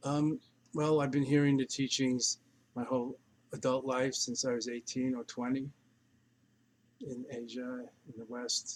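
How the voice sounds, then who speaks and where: A man speaks at a medium pitch with monotone, flat intonation. His pace is fairly slow, with long, frequent pauses. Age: 70s. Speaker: meditation teacher. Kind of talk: spiritual teaching Q&A.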